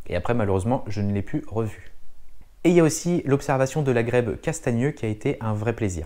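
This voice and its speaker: A man speaks at a fairly quick pace in a medium pitch, his intonation lively and his tone dark and mellow. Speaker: wildlife observation vlogger. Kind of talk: casual vlog narration. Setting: outdoors at bird observatory. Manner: soft-spoken; hesitant, many fillers.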